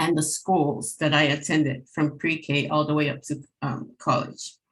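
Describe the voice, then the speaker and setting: The speech comes at a fairly slow pace, somewhat breathy, with fairly even intonation. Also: woman, very deep, low pitch for a woman. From American Samoa, Pago Pago. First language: Samoan. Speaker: government employee. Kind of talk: personal testimony. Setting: webinar.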